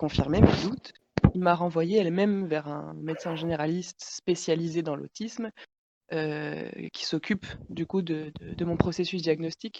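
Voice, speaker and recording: A woman's unremarkable speaking voice, fairly low in pitch with fairly even intonation, in a dry, close sound with no echo. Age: 20s. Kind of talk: casual chat. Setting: podcast recording.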